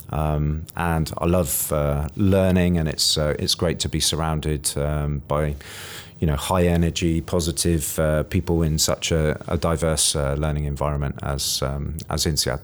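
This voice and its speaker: A man with a British accent speaks fairly slowly in a very deep, low pitch, his intonation monotone and flat and his loudness very even. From rural UK. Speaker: career coach. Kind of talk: interview. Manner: hesitant, many fillers.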